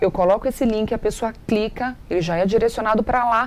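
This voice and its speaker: This woman has an unremarkable speaking voice. Her pitch is fairly high. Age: 30s. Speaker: TV presenter and digital influencer. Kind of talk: interview, giving marketing advice.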